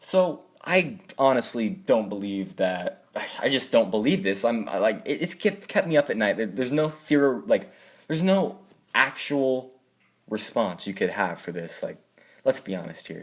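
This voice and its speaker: At a moderate pace, a man speaks at a medium pitch with vocal fry and very wide pitch swings. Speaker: YouTuber. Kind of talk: casual vlog monologue. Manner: animated.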